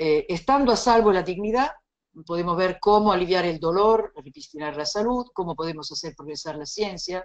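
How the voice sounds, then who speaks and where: A woman talks with lively intonation at a moderate pace. Her pitch is medium. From Italy. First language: Italian (speaking Spanish). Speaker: bioethics lecturer. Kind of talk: lecture.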